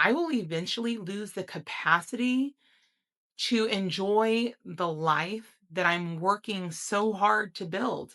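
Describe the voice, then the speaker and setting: This woman talks at a very slow pace, her voice medium in pitch with ordinary variation and a bright, sharp tone. The recording is very clean, with a silent background. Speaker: health vlogger. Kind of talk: personal reflection monologue.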